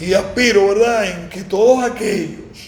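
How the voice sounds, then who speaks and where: A man talks fairly slowly with fairly even intonation. There is noticeable background noise and audible room echo. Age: 60s. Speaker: former mayor. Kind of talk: interview.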